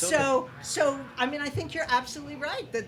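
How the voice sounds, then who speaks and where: Over noticeable background noise, a woman with a high voice talks at a fairly quick pace with ordinary pitch variation. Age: 60s. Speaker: playwright. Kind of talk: casual chat.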